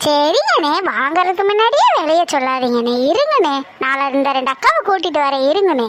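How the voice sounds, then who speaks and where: Over clear background noise, a cartoonish character voice moves at a fairly slow pace with lively intonation and very even loudness. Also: woman, high pitch for a woman. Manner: loud, argumentative.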